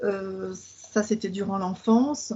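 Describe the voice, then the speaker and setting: A woman is talking. Her intonation is fairly even. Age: 50s. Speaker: patient. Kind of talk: interview. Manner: halting.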